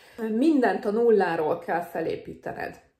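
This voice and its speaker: A woman talks fairly slowly, and noticeable background noise can be heard. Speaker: nurse vlogger. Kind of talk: advice vlog. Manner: casual, hesitant with fillers.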